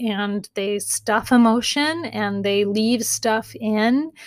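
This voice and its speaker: Very slowly and with fairly even intonation, a woman speaks at a fairly high pitch in a very clean recording with a silent background. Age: 40s. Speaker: therapist and podcast host. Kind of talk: casual advice monologue.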